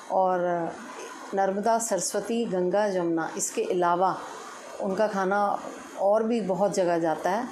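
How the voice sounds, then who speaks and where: Amid noticeable background noise and audible room echo, a woman speaks at medium pitch with fairly even intonation. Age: 60s. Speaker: resident. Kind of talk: testimonial.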